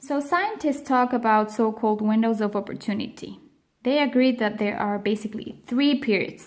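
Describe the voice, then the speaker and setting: A woman with a non-native accent talks at a moderate pace. Her pitch is fairly high, with ordinary variation. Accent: foreign accent in English. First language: Spanish and Swiss German. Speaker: vlogger on multilingual parenting. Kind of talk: educational talk to camera.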